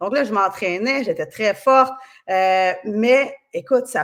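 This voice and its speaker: Pitched fairly high, a woman talks with ordinary pitch variation on a very clean recording with a silent background. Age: 40s. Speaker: kinesiologist and osteopath. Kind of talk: podcast interview. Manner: casual, many fillers.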